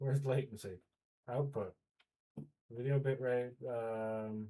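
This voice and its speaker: A man's medium-pitched voice at a very slow pace, with fairly even intonation. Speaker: 3D artist livestreamer. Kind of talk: casual livestream chat. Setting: livestream at computer. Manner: halting.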